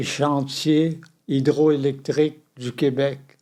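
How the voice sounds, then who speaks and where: The voice moves at a very slow pace with a dark, mellow tone. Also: man. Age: 90s. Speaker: retired journalist and reporter. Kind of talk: interview answer.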